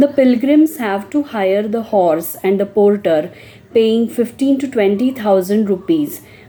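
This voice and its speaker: A woman speaks fairly slowly with lively intonation over noticeable background noise. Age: 60s. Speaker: pilgrim traveler. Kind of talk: reflective travel talk.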